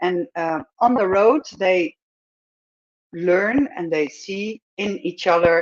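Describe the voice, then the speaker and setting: A woman with a Dutch accent speaks very slowly at a fairly low pitch, the sound dry and close with no echo. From Netherlands. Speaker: filmmaker and screenwriter. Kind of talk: pitch presentation. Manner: hesitant, many fillers.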